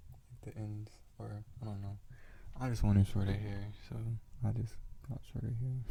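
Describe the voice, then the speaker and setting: Whispering and soft-spoken, a man speaks in a somewhat breathy voice. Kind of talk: asmr casual talk. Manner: whispered, soft-spoken.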